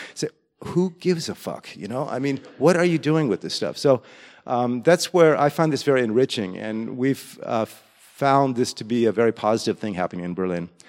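With an American accent, a man at medium pitch uses an ordinary speaking voice, talking at a fairly quick pace with lively intonation in a dry, close sound with no echo. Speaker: music educator. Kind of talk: presentation. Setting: stage with audience.

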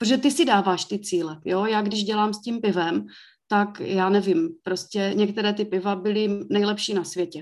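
In a very clean recording with a silent background, a woman speaks at medium pitch with ordinary pitch variation, in a normal speaking voice. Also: moderate pace. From Czech Republic, South Moravia (Mikulov). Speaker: brewery owner. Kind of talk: interview.

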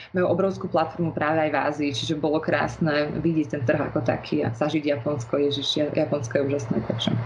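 Against noticeable background noise, a woman with a very deep, low pitch talks at a fairly quick pace with ordinary pitch variation. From Slovakia, Bratislava. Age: 20s. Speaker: fashion model and law student. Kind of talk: interview.

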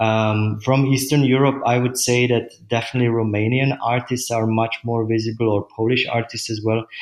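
A man with a Czech accent speaks at medium pitch and a moderate pace, with hardly any pauses. His intonation is monotone and flat, and his loudness very even. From Czech Republic. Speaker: gallery owner. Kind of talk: interview. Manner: hesitant, many fillers.

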